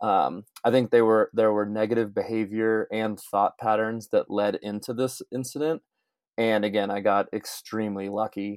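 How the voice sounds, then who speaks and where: A plain, everyday voice with a General American accent, recorded dry and close with no echo. The pace is moderate. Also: man, fairly low pitch for a man, fairly even intonation. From Colorado. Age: 30s. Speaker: ski mountaineer. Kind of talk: interview testimony.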